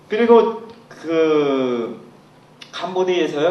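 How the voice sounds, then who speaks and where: A man with a Cambodian accent speaks in a fairly high pitch with very wide pitch swings. Audible room echo and noticeable background noise accompany him. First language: Khmer (speaking Korean). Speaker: language teacher. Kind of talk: lecture.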